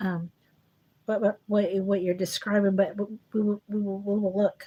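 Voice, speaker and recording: A woman talks at a moderate pace and medium pitch, her tone dark and mellow. Her delivery is flat and monotone, and somewhat breathy. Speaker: psychic medium. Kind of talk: live psychic reading. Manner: halting, repetitive.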